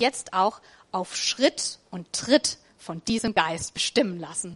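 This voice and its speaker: A woman at a very slow pace with lively intonation, in a dry, close sound with no echo. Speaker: preacher. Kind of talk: sermon in a church service, warm and conversational, with a closing prayer. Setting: church. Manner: animated, enthusiastic and upbeat; casual, plain-spoken, encouraging, with a rhetorical 'oder?'.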